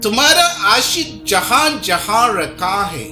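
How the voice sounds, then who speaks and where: With music playing behind it, a raised, projected voice swings very widely in pitch. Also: man. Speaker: pastor, preacher. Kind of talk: sermon, preaching.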